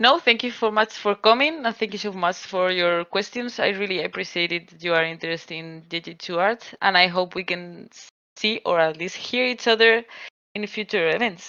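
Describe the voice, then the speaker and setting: A woman's medium-pitched voice, bright and sharp in tone, at a moderate pace with ordinary pitch variation against a quiet background. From Spain. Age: 30s. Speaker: game artist. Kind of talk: online presentation Q&A. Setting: voice chat on a community server.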